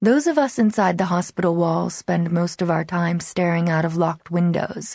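At a fairly slow pace, a woman with a fairly low pitch speaks in a plain, everyday voice. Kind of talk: audiobook narration, first-person reading of a teen novel. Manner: brooding, wary and intimate, like a guarded teen confiding.

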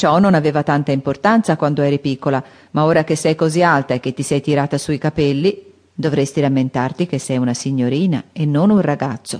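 This is a woman speaking at a fairly quick pace. Her pitch is very deep and low. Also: ordinary pitch variation, quiet background. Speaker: audiobook narrator. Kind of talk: dramatic audiobook narration with character voices. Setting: studio. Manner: animated, shifting between sisters' voices: bratty, prim, gentle; expressive, with teasing and scolding tones in dialogue.

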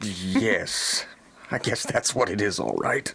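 A man puts on a gruff character voice and speaks at a moderate pace. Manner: gruff, irritable, skeptical.

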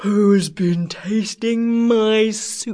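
A female-sounding voice puts on a character voice with a fairly high pitch. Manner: cross, angry.

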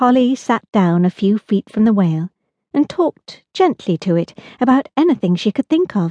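A natural reading voice with lively intonation comes through against a quiet background.

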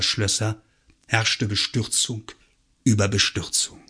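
A man talks fairly slowly, with a quiet background behind him. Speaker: audiobook narrator. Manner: animated, wry and mock-solemn, with expressive pacing and ironic emphasis.

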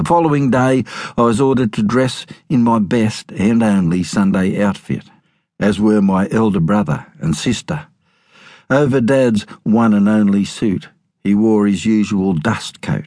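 With an Australian accent, a man speaks at a fairly slow pace and a fairly low pitch, with ordinary pitch variation. His tone is dark, mellow and dramatic. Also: very even loudness. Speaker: audiobook narrator. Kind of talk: dramatic narration of memoir, audiobook reading aloud. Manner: storytelling, wry, dramatic.

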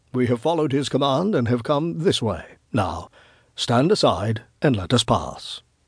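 A put-on character voice at a fairly slow pace, lively intonation and a husky, rough edge, on a very clean recording with a silent background. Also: man, medium pitch for a man.

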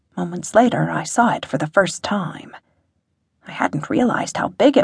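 Very wide pitch swings and vocal fry at a moderate pace. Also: woman. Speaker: audiobook narrator. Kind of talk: dramatic first-person audiobook narration of a fantasy story, with quoted dialogue.

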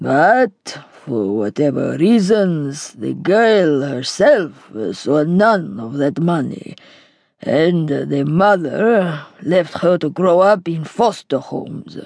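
A woman uses a put-on character voice with a Greek accent, very deep and low in pitch. She speaks at a very slow pace with very wide pitch swings. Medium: read story. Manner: heavy, grave.

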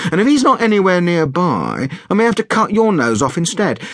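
Putting on a character voice, a man talks at a fairly quick pace in a high, fairly bright voice with big pitch swings.

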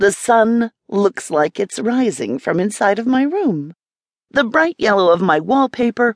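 An unforced reading voice with lively intonation sounds over a quiet background.

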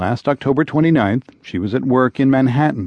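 A normal speaking voice from a man, medium in pitch, with lively intonation at a moderate pace. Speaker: radio news host. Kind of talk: formal news reading, broadcast headlines and sponsor credits. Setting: studio. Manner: formal; crisp, even-paced, authoritative newsreader delivery.

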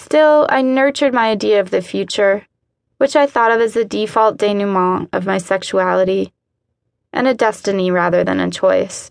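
Against a quiet background, a woman with an ordinary speaking voice talks at a moderate pace and medium pitch, with ordinary pitch variation and very even loudness. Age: 30s. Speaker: author narrating her own book. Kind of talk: literary nonfiction audiobook narration, first-person memoir read aloud.

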